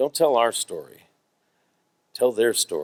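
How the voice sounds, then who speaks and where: In a Midwestern accent, a man speaks with lively intonation, the sound dry and close with no echo. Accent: American, Midwestern. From US Midwest, Cincinnati Ohio. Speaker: themed entertainment designer, award recipient. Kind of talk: award acceptance talk with audience Q&A. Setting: stage with audience.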